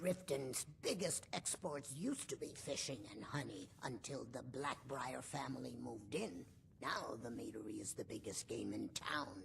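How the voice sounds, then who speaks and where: A put-on character voice delivered at a moderate pace with hardly any pauses, over clear background noise. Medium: video game. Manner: curt, matter-of-fact.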